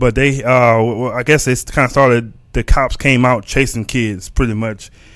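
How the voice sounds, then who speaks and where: A man with a Texan accent talks with hardly any pauses and fairly even intonation on a very clean recording with a silent background. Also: medium pitch for a man, moderate pace. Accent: Texas Southern US. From Texas. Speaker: podcast host. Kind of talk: casual livestream podcast talk. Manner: halting, many fillers and repetitions.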